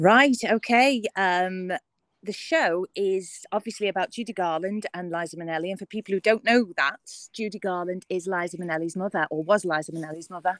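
With ordinary pitch variation, a woman uses an ordinary speaking voice at a medium pitch. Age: 40s. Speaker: musical theatre performer. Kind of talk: interview.

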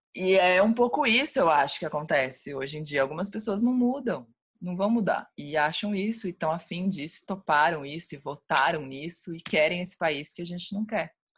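A woman with a fairly low pitch speaks at a moderate pace with lively intonation and hardly any pauses, in a very clean recording with a silent background. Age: 30s. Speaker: music journalist. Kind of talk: interview.

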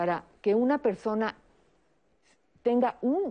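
A woman at a moderate pace, fairly high in pitch, with a dark, mellow tone and a quiet background. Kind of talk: televised panel discussion.

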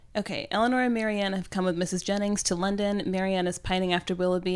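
This is a woman speaking at a medium pitch. Her pace is very fast. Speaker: podcast co-host. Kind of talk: casual chat. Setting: remote call.

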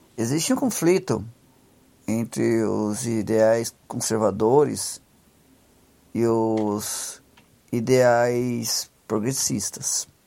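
Very slowly and with long, frequent pauses, a man talks at a medium pitch in a dark, mellow tone. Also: ordinary pitch variation. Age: 30s. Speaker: podcast host, social commentator. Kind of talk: solo commentary monologue. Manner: halting, many fillers and repetitions.

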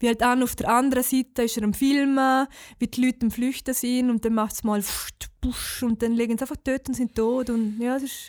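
Speaking at a fairly quick pace, a woman with a high pitch keeps a monotone, flat intonation, the sound dry and close with no echo on a very clean recording with a silent background. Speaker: podcast co-host. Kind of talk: casual chat.

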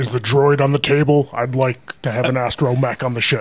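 Using a put-on character voice, a man of medium pitch talks at a fairly quick pace. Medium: actual play. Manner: blunt, impatient.

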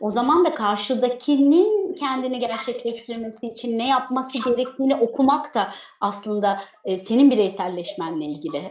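A high-pitched woman's voice with very wide pitch swings, at a moderate pace. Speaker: online show host. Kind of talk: interview.

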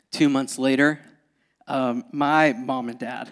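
A fairly high-pitched man with a Southern US accent, in a very clean recording over a silent background. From US South. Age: 20s. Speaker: pastor. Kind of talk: sermon. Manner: animated.

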